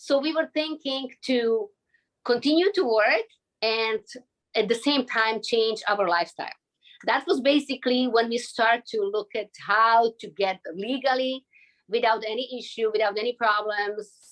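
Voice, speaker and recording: A woman with a Slovak accent at a fairly slow pace and fairly high pitch, with ordinary pitch variation and a dry, close sound with no echo. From Slovakia. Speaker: visa applicant. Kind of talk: interview.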